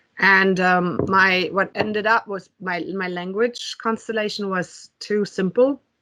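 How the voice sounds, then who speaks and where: A woman with a German accent speaks fairly slowly. Her medium-pitched voice keeps a fairly even intonation. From Germany. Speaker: tech executive. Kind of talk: interview. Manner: hesitant, many fillers.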